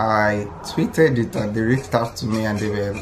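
Moderate pacing from a male speaker, noticeable background noise throughout. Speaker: vlogger. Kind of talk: casual vlog chat. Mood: annoyed, amused complaint. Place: home room. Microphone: phone near.

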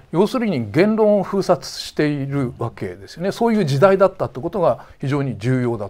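A man's fairly high voice at a moderate pace, with very wide pitch swings and big swings in loudness. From Tochigi, Japan. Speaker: defense journalist. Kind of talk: interview. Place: studio. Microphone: lapel.

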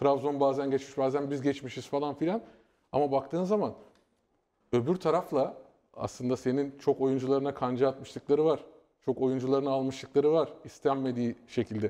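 A man's fairly high voice with a dark, mellow tone, ordinary pitch variation and a moderate pace, over a quiet background. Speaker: football pundit. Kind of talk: casual chat. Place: studio. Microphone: lapel.

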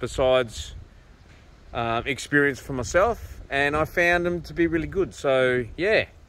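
At a moderate pace, a man talks with ordinary pitch variation over light background noise, the sound dry with no echo. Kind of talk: casual vlog chat. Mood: relaxed, opinionated. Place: open country. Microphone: phone near.

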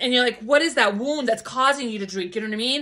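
A woman's high-pitched voice against a quiet background. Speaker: spiritual vlogger. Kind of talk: casual vlog chat, preaching. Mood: fervent, emotional, spiritual. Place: home room. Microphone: phone near.

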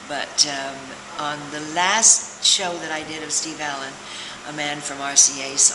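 Against noticeable background noise, a woman with a very deep, low pitch speaks at a fairly slow pace with fairly even intonation. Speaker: interviewee. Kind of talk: interview answer. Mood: warm, reminiscing, laughing. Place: hall. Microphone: camera far.

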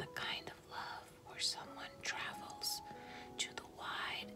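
A woman whispers at a very slow pace while music plays clearly in the background. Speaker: ASMR creator. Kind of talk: quiet inspirational reading. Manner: soft-spoken, slow. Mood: calm, tender, soothing.

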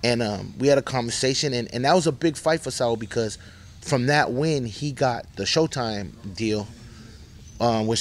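This voice has an American accent, ordinary pitch variation, and a fairly quick pace. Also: man. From Boston. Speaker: boxing manager; boxing coach. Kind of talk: casual interview. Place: gym. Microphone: handheld.

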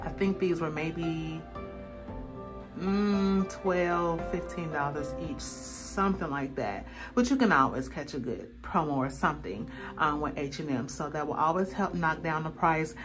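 Clear music plays behind a woman speaking at a fairly slow pace. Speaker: lifestyle vlogger. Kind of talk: casual vlog chat. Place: bathroom. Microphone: phone near.

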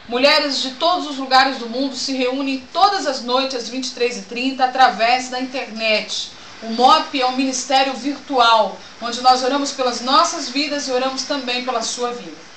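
Woman with a high pitch and fairly even intonation at a moderate pace, with audible room echo and light background noise. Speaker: pastor promoting church event. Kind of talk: announcement with preaching tone. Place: home room. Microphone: webcam.

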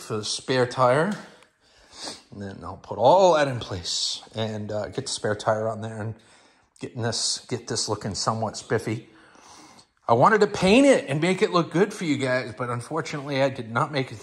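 Somewhat breathy, the voice moves at a moderate pace with lively intonation and big swings in loudness. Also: man. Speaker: garage vlogger. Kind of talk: casual vlog chat. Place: garage. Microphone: phone near.

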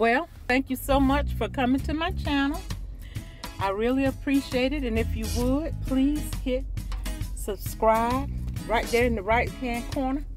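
A woman talks at a fairly slow pace with long, frequent pauses, the sound dry with no echo and clear music in the background. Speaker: vlogger. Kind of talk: casual vlog chat. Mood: warm, relaxed. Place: car. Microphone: phone near.

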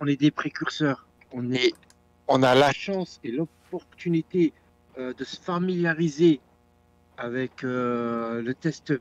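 Speaking at a very slow pace with long, frequent pauses, a man with a fairly high pitch shows ordinary pitch variation and big swings in loudness. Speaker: community member. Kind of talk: casual chat.

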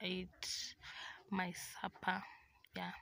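A woman talks at a very slow pace and a fairly low pitch. The sound is dry, with no echo. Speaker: vlogger. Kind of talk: casual vlog chat. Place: home room. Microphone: phone near.

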